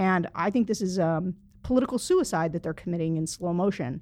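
A woman at a medium pitch with ordinary pitch variation, against a quiet background. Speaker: publisher, panelist. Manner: frenetic, agitated.

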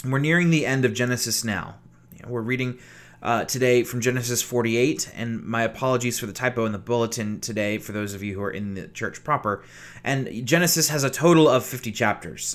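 At a fairly quick pace, a man speaks in an ordinary speaking voice at a medium pitch, with ordinary pitch variation and big swings in loudness. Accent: American. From Virginia, US South. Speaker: pastor. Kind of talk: sermon.

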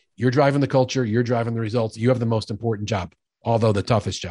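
Against a quiet background, a man with an American accent speaks at a medium pitch and fairly quick pace, somewhat breathy with a dark, mellow tone, fairly even intonation, and a dry, close sound with no echo. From New York. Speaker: sales expert and author. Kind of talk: casual interview conversation.

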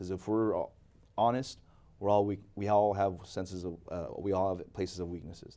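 In a very clean recording with a silent background, a man with an American accent speaks at a moderate pace in a fairly low, dark, mellow voice with monotone, flat intonation. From Seattle area, Washington (arrived age 5 from the Philippines). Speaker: education consultant. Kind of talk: interview. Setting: studio.

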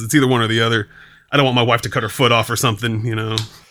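Over a silent background in a very clean recording, a man talks at a very fast pace with a bright, sharp tone. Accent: American. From Eastern Washington. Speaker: rapper. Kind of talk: casual chat. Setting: late night recording session.

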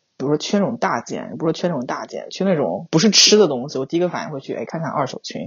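With a very deep, low pitch and vocal fry, a woman races along at a very fast pace with hardly any pauses, lively intonation and big swings in loudness. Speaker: overseas graduate working professional. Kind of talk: casual chat.

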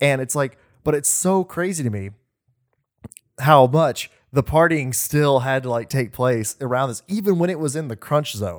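A man with a plain, everyday voice speaks at a fairly high pitch and a moderate pace with lively intonation, in a very clean recording with a silent background. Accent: American. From Oklahoma. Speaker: podcast co-host. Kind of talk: casual chat.

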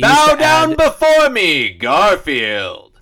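Using a put-on character voice, the man pitches himself extremely high. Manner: commanding.

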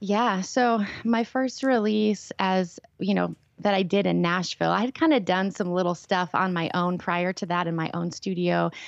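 At a moderate pace, a woman talks in an ordinary speaking voice at medium pitch, with ordinary pitch variation. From Minnesota. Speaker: worship leader and mentor. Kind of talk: interview, personal testimony. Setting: phone call.

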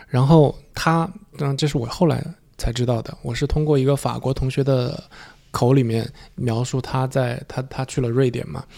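A man's voice with vocal fry, fairly even intonation and a slightly mellow tone. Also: medium pitch for a man, moderate pace.

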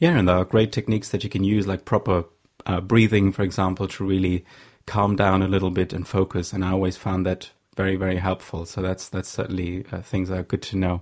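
The recording is very clean with a silent background. A man in a German accent talks very fast in a very deep, low pitch with monotone, flat intonation. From Germany. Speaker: podcast host. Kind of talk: interview.

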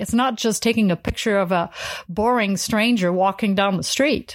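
In a very clean recording with a silent background, a woman with a French accent talks at a moderate pace. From France. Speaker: photographer and educator. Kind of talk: interview.

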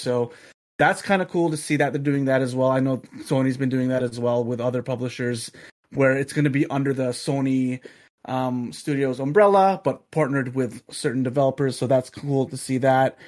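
On a very clean recording with a silent background, a man with a medium-pitched voice speaks at a moderate pace. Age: 30s. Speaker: gaming podcast co-host. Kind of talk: casual chat. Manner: animated.

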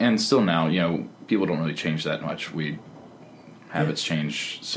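A man speaks at a moderate pace in a very deep, low pitch. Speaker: comedian and performer. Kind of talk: casual interview chat.

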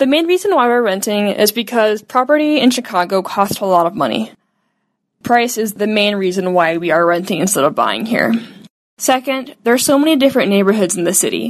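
Against a quiet background, a woman with an ordinary speaking voice talks at a fairly quick pace, her fairly high pitch carrying lively intonation. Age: 20s. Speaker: young renter. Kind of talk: personal testimony.

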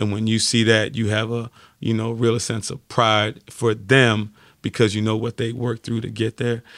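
A man with an American accent at medium pitch and moderate pace, in a dry, close sound with no echo on a very clean recording with a silent background. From New York City, Brooklyn, later Florida. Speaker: football coach. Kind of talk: interview. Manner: energetic.

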